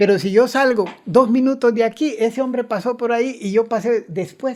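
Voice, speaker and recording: A man's extremely high-pitched voice at a moderate pace, with ordinary pitch variation. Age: 60s. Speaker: author and engineer. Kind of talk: interview.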